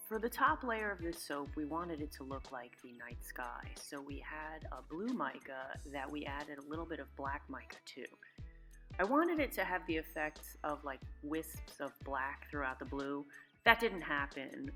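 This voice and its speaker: With music playing behind her, a woman speaks at a moderate pace, her loudness swinging widely. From New York. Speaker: soap maker. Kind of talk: tutorial voiceover.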